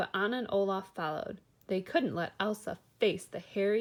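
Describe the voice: Ordinary pitch variation in plain reading aloud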